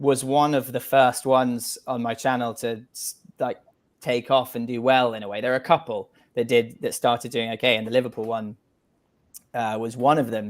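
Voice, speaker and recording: In a very clean recording with a silent background, a man of medium pitch speaks at a moderate pace in a monotone, flat intonation. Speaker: documentary filmmaker. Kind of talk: interview answer.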